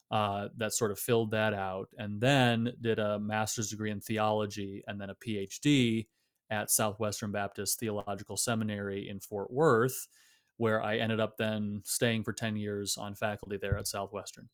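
Monotone and flat, a man speaks at a moderate pace with an American accent. The recording is very clean, with a silent background. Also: fairly low pitch for a man. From US Midwest, Michigan. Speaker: theologian and author. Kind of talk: interview.

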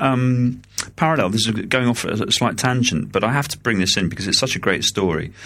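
This man speaks with a British accent at a moderate pace. His pitch sits in the medium range. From coastal England. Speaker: podcast co-host, EU civil servant. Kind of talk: casual political chat. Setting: at home, remote recording.

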